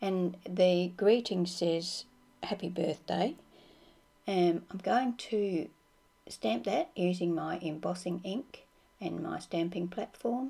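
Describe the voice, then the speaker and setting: A woman speaks at a very slow pace with ordinary pitch variation. Noticeable background noise runs underneath. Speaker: card-making crafter. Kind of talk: tutorial. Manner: calm, explanatory.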